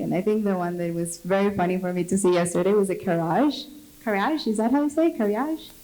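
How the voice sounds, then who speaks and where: Woman's medium-pitched voice at a fairly quick pace, with noticeable background noise. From Latin America. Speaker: product manager on industry panel. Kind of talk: panel discussion.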